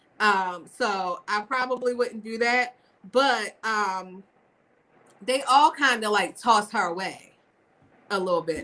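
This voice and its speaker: A woman speaks with a Baltimore accent. Her tone is bright and sharp. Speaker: podcast co-host. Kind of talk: casual chat.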